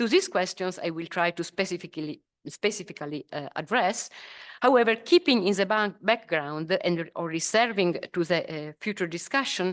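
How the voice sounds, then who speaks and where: A woman in an Italian accent talks at a moderate pace with ordinary pitch variation, in a dry, close sound with no echo and a quiet background. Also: medium pitch for a woman. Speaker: professor. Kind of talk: lecture. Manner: halting, many fillers.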